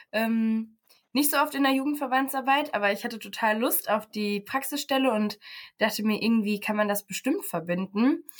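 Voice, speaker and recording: A woman talks in an ordinary speaking voice at a fairly high pitch, with a moderate pace and ordinary pitch variation. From Paderborn, Germany. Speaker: social work student. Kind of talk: casual interview.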